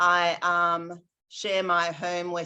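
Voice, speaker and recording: Over a quiet background, a woman with an Australian accent speaks in a bright, sharp tone at a fairly low pitch. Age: 60s. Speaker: astrologer. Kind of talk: interview.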